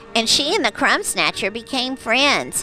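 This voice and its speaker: This is a cartoonish character voice at a moderate pace. Music plays clearly in the background. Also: female-sounding voice. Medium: puppet. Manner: warm, chatty, hesitant.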